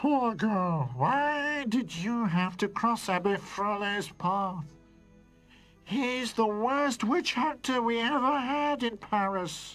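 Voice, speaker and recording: Over faint music in the background, a man does a cartoonish character voice at an extremely high pitch and a very slow pace. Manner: gentle, earnest.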